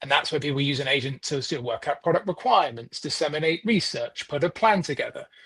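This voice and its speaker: Very fast and with hardly any pauses, a man with a British accent and a fairly high pitch speaks with lively intonation. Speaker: software delivery manager, consultant. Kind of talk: interview.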